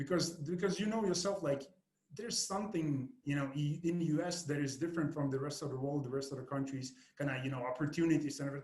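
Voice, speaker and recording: A man talks at a very fast pace in a fairly high pitch with a Lithuanian accent. His voice is somewhat breathy, with ordinary pitch variation. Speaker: podcast host and marketing agency owner. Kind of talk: podcast interview. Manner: halting, with frequent repetitions and fillers.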